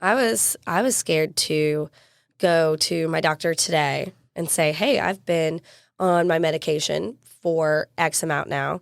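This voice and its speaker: A woman with a fairly low pitch speaks fairly slowly, with ordinary pitch variation. The recording is very clean, with a silent background. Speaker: podcast host. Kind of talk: casual chat. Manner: loud; animated.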